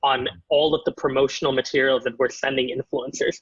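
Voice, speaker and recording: Somewhat breathy, a man with a Canadian accent speaks at a fairly quick pace. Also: dry, close sound with no echo. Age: 20s. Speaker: startup founder. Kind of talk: interview.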